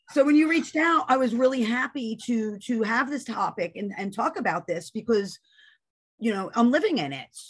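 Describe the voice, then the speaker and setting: The background is quiet. The intonation is lively. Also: woman, fairly high pitch for a woman. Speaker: parent training coordinator. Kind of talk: webinar presentation. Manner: fast.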